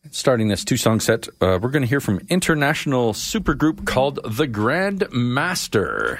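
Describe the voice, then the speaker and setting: With a Canadian accent and vocal fry, the speaker talks at a moderate pace. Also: man. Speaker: radio host. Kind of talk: live radio DJ patter introducing tracks. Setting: radio studio, live broadcast. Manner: chatty, warm, conversational.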